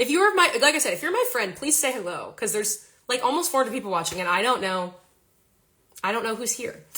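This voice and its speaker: A woman's bright, sharp voice with very wide pitch swings. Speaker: singer-songwriter. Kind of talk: casual livestream chat. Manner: fast.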